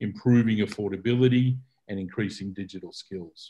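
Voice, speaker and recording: With an Australian accent, a man talks in fairly even intonation. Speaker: telecommunication policy expert. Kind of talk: keynote presentation. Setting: video call. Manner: hesitant, with fillers and repetitions.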